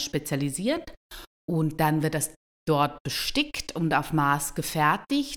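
A woman's very deep, low pitch at a very slow pace, with a dry, close sound and no echo. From Switzerland. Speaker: bridal fashion designer. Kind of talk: casual interview.

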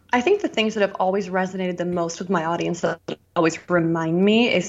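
At a very fast pace, a woman speaks with a medium pitch and fairly even intonation. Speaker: YouTuber influencer. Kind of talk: casual interview chat.

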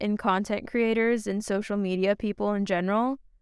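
In a Californian accent, a woman speaks at medium pitch and a moderate pace in an animated tone, on a very clean recording with a silent background. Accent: Californian American. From San Francisco Bay Area. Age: 20s. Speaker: podcast host, college senior. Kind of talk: casual solo podcast monologue. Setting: at the beach. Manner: animated, laughs often.

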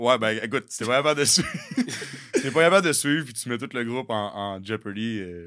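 A man with a medium pitch talks at a fairly quick pace, his lively intonation paired with big swings in loudness. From Quebec City. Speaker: football coach and former pro football player. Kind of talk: casual chat. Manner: intense.

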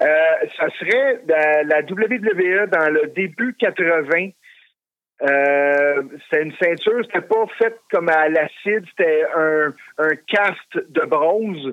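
A man's high voice at a very slow pace, with ordinary pitch variation and very even loudness. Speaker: wrestling belt collector. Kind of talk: casual interview.

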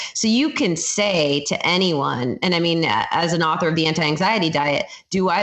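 Against noticeable background noise, a woman with a fairly low pitch speaks at a moderate pace. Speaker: dietitian. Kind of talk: casual interview.

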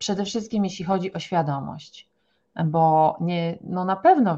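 A dark, mellow tone at a fairly slow pace. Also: woman. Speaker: naturopath. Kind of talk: podcast interview. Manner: animated.

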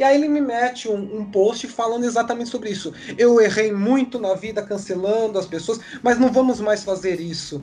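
This man's voice sits at a high pitch. His pace is moderate and his pitch varies in an ordinary way. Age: 30s. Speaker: podcast host. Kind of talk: casual chat.

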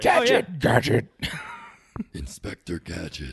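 A raspy, put-on character voice from a man at a fairly slow pace. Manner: cartoon villain.

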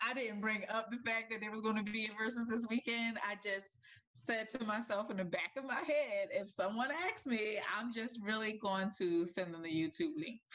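A woman with a fairly high pitch keeps a moderate pace, and noticeable background noise is heard too. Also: ordinary pitch variation. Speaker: podcast co-host. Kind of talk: casual chat.

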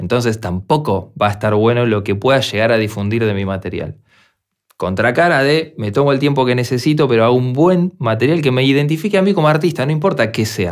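This man has an unremarkable speaking voice, pitched in the medium range and delivered at a fairly quick pace. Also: lively intonation. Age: 40s. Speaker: music producer and podcast host. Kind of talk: solo podcast monologue.

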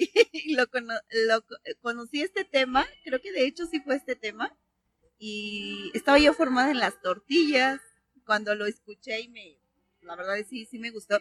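Her loudness swinging widely, a woman with a high pitch speaks at a moderate pace with lively intonation, the sound dry and close with no echo. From Mexico City. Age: 40s. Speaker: podcast co-host. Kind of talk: casual chat.

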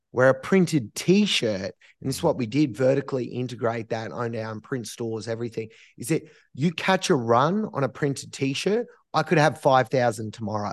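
A man with an Australian accent, medium pitch and a moderate pace, against a quiet background. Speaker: entrepreneur, streetwear company founder. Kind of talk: interview.

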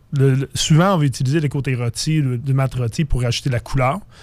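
A man speaks at a fairly quick pace, his medium-pitched voice keeping a fairly even intonation. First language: English (speaking French). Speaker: craft brewer. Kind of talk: casual radio interview.

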